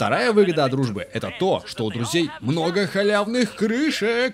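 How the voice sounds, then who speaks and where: A man's pitch swings very widely as he talks at a moderate pace over noticeable background noise. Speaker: voice actor. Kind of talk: comedic voice-over dub of a game video. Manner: playful.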